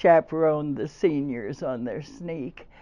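The speaker talks at a very slow pace. Pitch variation is ordinary. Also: woman. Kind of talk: elder life story, reminiscing. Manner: warm, chuckling, fond; halting, with uhs and laughter.

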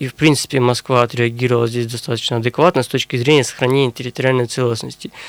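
At a very fast pace with hardly any pauses, a man talks in a monotone, flat intonation. His medium-pitched voice sounds dry and close with no echo. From Russia, Sverdlovsk region (Urals). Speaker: historian and university lecturer. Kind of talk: radio interview. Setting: studio.

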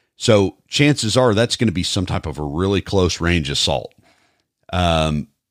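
A man's very deep, low voice at a moderate pace, with ordinary pitch variation and a dry, close sound with no echo. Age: 40s. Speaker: podcast host and police officer. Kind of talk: casual interview.

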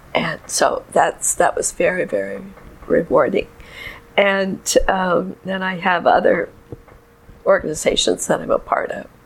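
Amid noticeable background noise, a woman with an American accent speaks at a fairly slow pace with long, frequent pauses. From San Diego, California. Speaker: retired kindergarten teacher. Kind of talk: interview.

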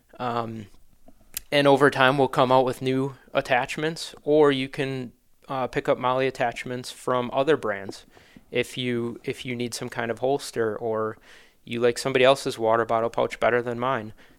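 In a Wisconsin accent, the speaker holds a flat monotone at a moderate pace on a very clean recording with a silent background. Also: man, medium pitch for a man. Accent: Upper Midwest (Wisconsin). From Wisconsin, Manitowoc. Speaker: hunting gear business founder. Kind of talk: casual interview.

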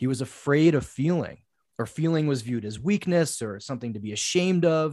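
A man with a plain, everyday voice talks at a fairly quick pace. His fairly high pitch carries lively intonation. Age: 40s. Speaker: men's coach. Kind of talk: casual interview conversation.

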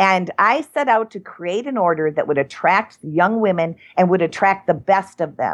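In a plain, everyday voice, this woman keeps a medium pitch and a moderate pace. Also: quiet background. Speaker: cannabis nun and activist founder. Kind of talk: interview.

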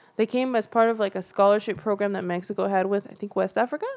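A very fast, lively, fairly high-pitched woman with an American accent, over noticeable background noise. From Central California. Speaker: documentary filmmaker. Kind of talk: casual interview. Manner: laughs often.

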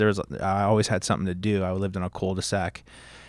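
Fairly low male voice in a Californian accent, monotone and flat, with a dry, close sound with no echo on a very clean recording with a silent background. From Southern California. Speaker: high school history teacher. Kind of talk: casual interview. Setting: studio.

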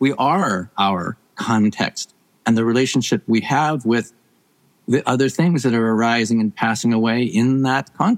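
In an ordinary speaking voice, a man talks at a medium pitch and moderate pace with very even loudness, in a dry, close sound with no echo. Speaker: professor and author. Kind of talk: casual interview conversation.

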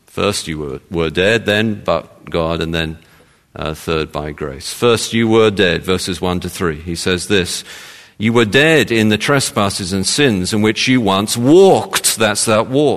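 With a London accent, a man of fairly low pitch talks at a fairly slow pace with lively intonation against a quiet background. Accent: southern English (London). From London, England. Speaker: pastor. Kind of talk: sermon.

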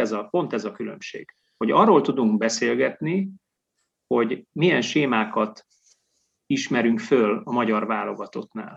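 Speaking at a fairly slow pace, a man uses lively intonation at a medium pitch, with vocal fry in his voice. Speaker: sports journalist co-host. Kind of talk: casual chat.

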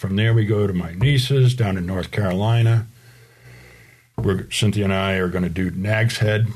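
Here a man speaks with a fairly low pitch and a somewhat breathy voice. He keeps a moderate pace and ordinary pitch variation. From Rhode Island. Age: 60s. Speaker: car enthusiast, recurring podcast guest. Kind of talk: casual chat.

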